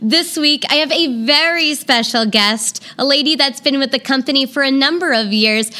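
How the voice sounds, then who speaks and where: Over noticeable background noise, a woman with a high pitch uses a raised, projected voice and lively intonation at a moderate pace. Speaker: podcast host and legal sex worker. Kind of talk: casual chat.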